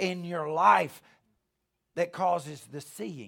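A man with a high pitch, a bright, sharp tone and a Southern US accent, at a very slow pace. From US South, Alabama. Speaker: preacher, ministry founder. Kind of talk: sermon. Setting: church service with audience.

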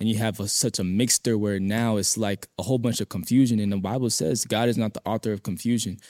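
The very clean recording has a silent background and a dry, close sound with no echo, as a man with a fairly low pitch talks very fast, with fairly even intonation and hardly any pauses. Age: 20s. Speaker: lay evangelist. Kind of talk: testimony.

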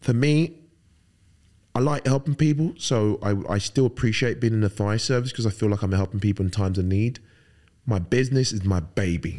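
Speaking in a London accent at a fairly quick pace, the voice has a dark, mellow tone, lively intonation and very even loudness. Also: man, fairly low pitch for a man. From London, England (Fulham, West London); born in Nigeria. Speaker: firefighter and bodybuilder. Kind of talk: casual interview.

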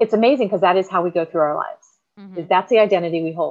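With ordinary pitch variation, a woman speaks in a medium pitch. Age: 50s. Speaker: fitness coach and veteran. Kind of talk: casual interview chat.

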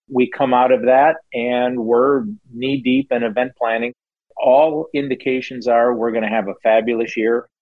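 With an American accent, a speaker uses an ordinary speaking voice at a moderate pace and with fairly even intonation. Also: man, medium pitch for a man. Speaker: racetrack owner. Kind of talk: interview.

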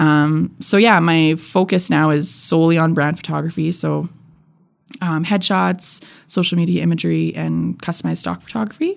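A woman with a Canadian accent at a moderate pace. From Edmonton, Alberta, Canada. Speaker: photographer and podcaster. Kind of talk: interview. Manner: casual, with many fillers.

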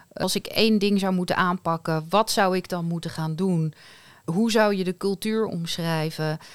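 Heard in a very clean recording with a silent background, a woman at medium pitch has a plain, everyday voice. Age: 40s. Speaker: podcast host, HR and leadership in healthcare. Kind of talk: casual chat.

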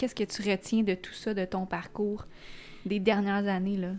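Her intonation stays monotone and flat. The woman's pitch is medium. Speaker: podcast host. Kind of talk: monologue intro; interview. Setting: studio.

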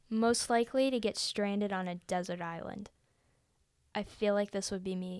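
Recorded very cleanly against a silent background, a woman with an unremarkable speaking voice talks at a moderate pace and medium pitch with fairly even intonation. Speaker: podcast co-host. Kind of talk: casual chat.

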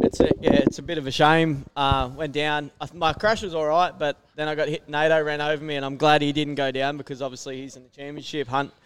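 A fairly high-pitched man with an Australian accent, monotone and flat, at a fairly quick pace with hardly any pauses. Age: 30s. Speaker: motocross racer. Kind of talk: casual interview. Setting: outdoor event tent, live over PA.

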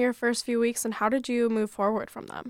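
A woman speaks very fast in a high voice. The sound is dry and close, with no echo. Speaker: student radio host. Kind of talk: radio interview. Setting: radio studio.

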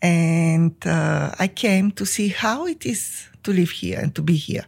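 A woman with a Bulgarian accent at a very slow pace, in a very clean recording with a silent background. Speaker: psychotherapist and company founder. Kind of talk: interview.

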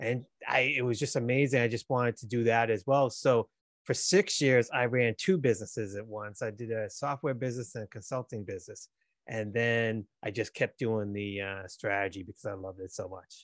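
Recorded dry and close with no echo against a quiet background, a man with a Boston accent talks at a fairly quick pace at a medium pitch, with ordinary pitch variation and big swings in loudness. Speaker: business coach. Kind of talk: casual interview.

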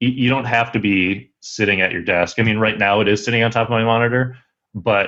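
Here a man has an ordinary speaking voice with a fairly low pitch. He keeps a fairly even intonation at a fairly quick pace. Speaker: video producer. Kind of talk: casual interview chat.

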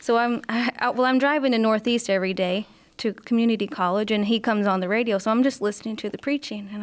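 A woman speaks at a very fast pace. Her voice is fairly high, with ordinary pitch variation. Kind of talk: testimony. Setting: studio.

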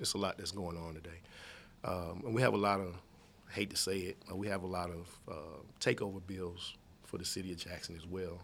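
Through audible room echo comes a man's very deep, low voice with fairly even intonation. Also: moderate pace. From Mississippi (moved from Chicago at 12-13). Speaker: state legislator. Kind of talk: interview. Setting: studio.

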